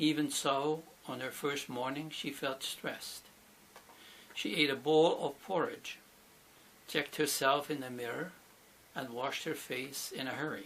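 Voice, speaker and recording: A man with a fairly high pitch and a bright, sharp tone speaks at a fairly slow pace with fairly even intonation. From Switzerland, Bern region. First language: Swiss German (Bernese dialect). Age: 80s+. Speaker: accent archive participant. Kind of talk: reading aloud.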